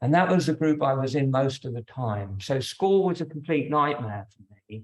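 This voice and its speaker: Somewhat breathy, a man with fairly high pitch talks at a moderate pace with lively intonation. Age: 60s. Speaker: yoga teacher. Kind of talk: personal talk to yoga class.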